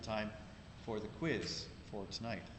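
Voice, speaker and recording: Audible room echo hangs around a man's voice as he talks. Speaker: instructor. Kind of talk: lecture. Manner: loud. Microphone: laptop mic.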